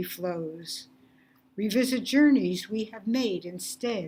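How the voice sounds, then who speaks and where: Somewhat breathy and very slow, the voice moves with lively intonation. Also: woman. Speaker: poet. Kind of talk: poetry reading.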